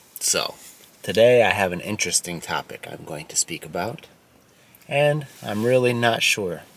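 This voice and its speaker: Against noticeable background noise, a man speaks at a medium pitch with lively intonation and big swings in loudness. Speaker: English teacher. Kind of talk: educational talk to camera for English learners. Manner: slow, clear.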